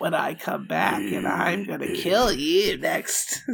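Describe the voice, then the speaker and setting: This man is doing a put-on character voice at a fairly slow pace. Light background noise can be heard. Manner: menacing, threatening.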